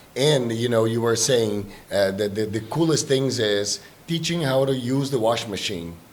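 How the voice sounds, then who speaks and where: Against noticeable background noise and audible room echo, a man speaks at a medium pitch and moderate pace with ordinary pitch variation. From Brazil. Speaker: exchange trip organizer. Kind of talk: casual chat.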